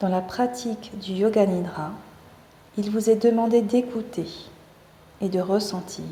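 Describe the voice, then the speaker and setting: Against noticeable background noise and audible room echo, a woman speaks with fairly even intonation at a medium pitch, leaving long, frequent pauses. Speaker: yoga teacher. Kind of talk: guided meditation. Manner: slow; soft-spoken.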